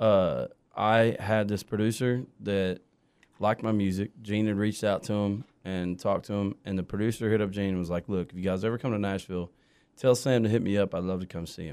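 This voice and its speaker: Recorded very cleanly against a silent background, a man talks at a fairly quick pace. He has a fairly low pitch and an American accent. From Southern Maryland, partly Kansas. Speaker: country singer. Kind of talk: casual interview. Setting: studio. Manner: animated.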